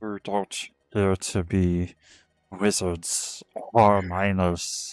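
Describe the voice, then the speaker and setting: A man's put-on character voice, very deep and low in pitch, very slow in pace, with monotone, flat intonation. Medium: actual play. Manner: questioning, guarded.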